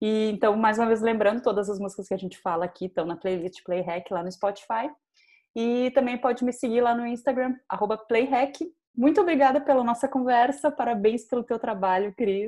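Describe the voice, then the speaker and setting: Against a quiet background, a woman speaks at a moderate pace in a fairly high, dark and mellow voice with ordinary pitch variation. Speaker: podcast host. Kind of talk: scripted narration; interview.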